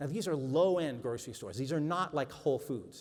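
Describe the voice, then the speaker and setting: Talking at a fairly quick pace, a man speaks with a Boston accent. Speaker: journalist and author speaker. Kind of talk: talk to an audience. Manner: conversational.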